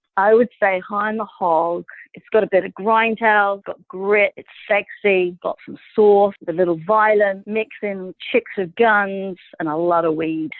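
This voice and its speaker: This woman has a medium pitch and a British accent, speaking at a fairly slow pace with fairly even intonation. Her loudness swings widely. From Britain. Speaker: actress. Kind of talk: casual interview. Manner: hesitant, lots of fillers.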